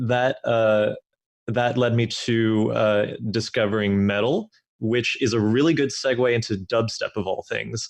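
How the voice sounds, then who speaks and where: A man with an English accent speaks at a moderate pace. His medium pitch follows fairly even intonation. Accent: Americanized English. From Denmark, moved around a lot. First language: Danish. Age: young. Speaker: music producer, music student. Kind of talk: casual interview.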